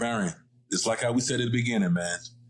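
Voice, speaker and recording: A man with an American accent makes very wide pitch swings over noticeable background noise. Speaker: photographer and studio owner. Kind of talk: casual chat.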